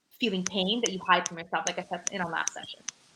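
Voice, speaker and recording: A woman speaks in a bright, sharp tone. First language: Urdu. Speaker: livestream talk show host. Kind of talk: casual conversation on a live show.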